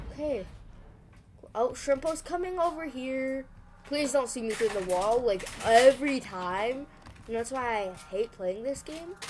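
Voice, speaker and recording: Over noticeable background noise, a woman speaks in a high pitch with lively intonation. She goes at a fairly slow pace with long, frequent pauses. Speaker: gaming streamer. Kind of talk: gameplay commentary. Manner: animated.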